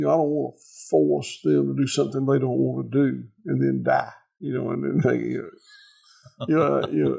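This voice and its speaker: Speaking at a moderate pace, a man talks in a Southern US accent. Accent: Southern US (Georgia). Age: 60s. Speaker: farmer. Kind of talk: casual chat. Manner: halting, repeats words.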